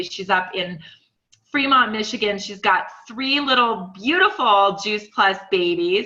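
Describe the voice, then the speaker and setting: Audible room echo surrounds a woman's bright, sharp tone at a medium pitch. She speaks at a fairly slow pace. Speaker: webcast host. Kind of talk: webcast panel introduction. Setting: conference call. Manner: casual, filler words.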